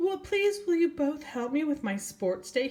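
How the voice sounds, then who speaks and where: In a put-on character voice, a woman speaks high, with very wide pitch swings, at a moderate pace. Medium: read story.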